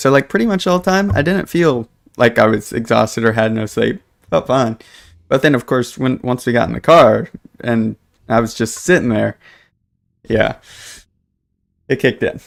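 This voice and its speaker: A loud man at a moderate pace, with very wide pitch swings. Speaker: gaming streamer. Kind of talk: casual live-stream chat.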